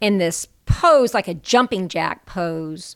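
A woman with an unremarkable speaking voice at medium pitch uses lively intonation on a very clean recording with a silent background. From US South. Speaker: performing artist and storyteller. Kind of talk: interview.

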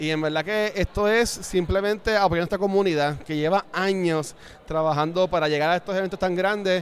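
A high-pitched man talks at a fairly quick pace with fairly even intonation. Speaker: pop culture commentator. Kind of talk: casual chat. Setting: convention center event.

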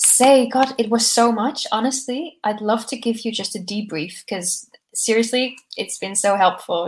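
Using a normal speaking voice, a woman talks in a fairly high pitch with ordinary pitch variation. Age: 20s. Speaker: startup founder. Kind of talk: casual interview chat. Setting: video call.

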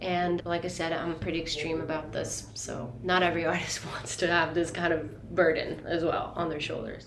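A woman speaks at a moderate pace with fairly low pitch and ordinary pitch variation. Audible room echo and noticeable background noise surround her. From Italy. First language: Italian. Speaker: singer-songwriter. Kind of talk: interview.

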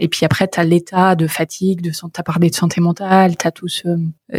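A woman with a fairly low pitch speaks in a monotone, flat, somewhat breathy voice, in a dry, close sound with no echo. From northern France, near Paris (Creil, Oise). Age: 30s. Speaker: startup founder and CEO. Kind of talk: interview.

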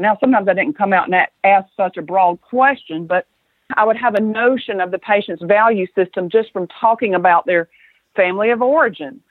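A woman speaks in an ordinary speaking voice at a fairly quick pace. Her pitch sits in the medium range, with ordinary variation. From US South. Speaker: acupuncturist and physician. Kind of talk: interview conversation.

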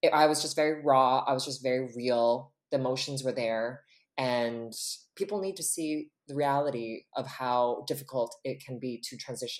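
A woman's very deep, low voice in a Canadian accent, at a moderate pace with ordinary pitch variation. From western Canada, British Columbia. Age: 30s. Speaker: influencer and makeup entrepreneur. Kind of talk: casual interview chat. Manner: animated.

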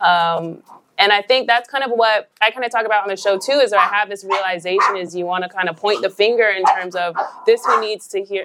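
With an American accent, a woman talks at a fairly quick pace in an unremarkable speaking voice, medium in pitch with ordinary pitch variation. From Idaho, Nez Perce reservation. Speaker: podcast co-host. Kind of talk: live show conversation. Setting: stage with audience.

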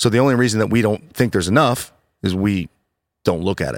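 A man with an American accent speaks fairly quickly at a fairly low pitch, with lively intonation and a plain, everyday voice. The recording is very clean, with a silent background and a dry, close sound with no echo. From Ohio, US (Worthington). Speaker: pastor and podcast host. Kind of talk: casual chat.

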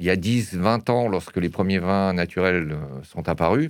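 A man's very deep, low pitch moves with ordinary variation. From Alsace, France. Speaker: wine merchant. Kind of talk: interview. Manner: hesitant, frequent fillers.

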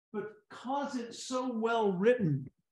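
A man with ordinary pitch variation over a quiet background. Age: 70s. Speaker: professional speaker. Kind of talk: casual interview.

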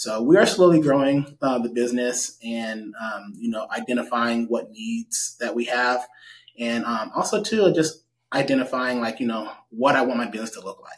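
A man speaks at a moderate pace with a medium pitch. His loudness swings widely. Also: ordinary pitch variation. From US West Coast, Stockton, California. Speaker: real estate agent and investor. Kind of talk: interview.

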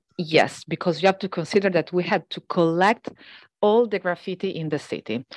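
In an Italian accent, a woman talks at a fairly quick pace against a quiet background. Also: fairly low pitch for a woman, ordinary pitch variation. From Venice, Italy. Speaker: historian and writer. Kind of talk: interview.

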